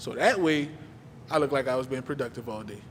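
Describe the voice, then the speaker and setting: Speaking at a fairly high pitch, a man is heard with audible room echo. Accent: American. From New Orleans, Louisiana. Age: 30s. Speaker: guest speaker, community mentor. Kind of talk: personal testimony talk at a church service. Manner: casual, conversational.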